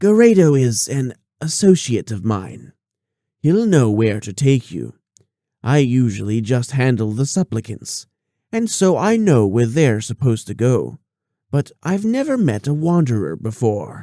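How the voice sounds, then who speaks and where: Here a man performs a put-on character voice at medium pitch and moderate pace. The recording is very clean, with a silent background. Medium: read story. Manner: amused, sly.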